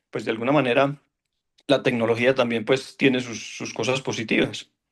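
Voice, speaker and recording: A man talks at a fairly quick pace. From Colombia, Caldas. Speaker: orchestra conductor. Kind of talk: panel discussion. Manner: halting.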